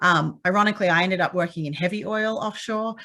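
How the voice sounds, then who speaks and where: A woman with a slight Australian accent, medium pitch and ordinary pitch variation, at a moderate pace in a very clean recording with a silent background. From Australia, Perth, Western Australia. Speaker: petroleum engineer and conference speaker. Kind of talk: conference talk. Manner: many fillers (um).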